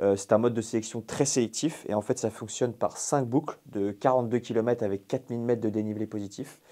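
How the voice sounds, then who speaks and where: A man with a medium-pitched, dark, mellow voice talks at a very fast pace with hardly any pauses and fairly even intonation, recorded very cleanly against a silent background. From Brittany, France. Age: 20s. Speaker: ultra-trail runner and coach. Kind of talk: podcast interview.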